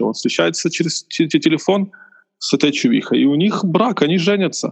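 A man at a moderate pace, dry and close with no echo. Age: 20s. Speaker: architect, podcast guest. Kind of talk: casual chat.

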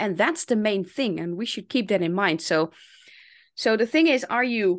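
At a medium pitch, a woman with a Dutch accent speaks at a moderate pace with lively intonation. The background is quiet. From Netherlands. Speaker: English teacher and language coach. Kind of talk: interview conversation.

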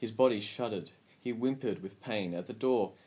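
The speaker reads plainly aloud with ordinary pitch variation.

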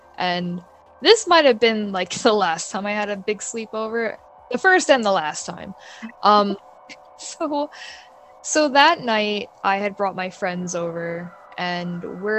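Speaking at a fairly slow pace with an American accent, a woman of medium pitch uses lively intonation and big swings in loudness. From New York, Bayside, Queens. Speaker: illustrator and freelance artist. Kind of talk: casual storytelling interview.

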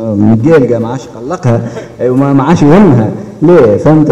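With noticeable background noise and audible room echo, a man speaks at a moderate pace in a fairly high pitch, with ordinary pitch variation. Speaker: bank credit officer. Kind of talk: audience contribution at public meeting.

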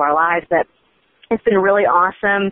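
Here is a woman with an American accent. Her intonation is fairly even. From Oklahoma. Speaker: online political media co-founder. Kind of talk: casual interview.

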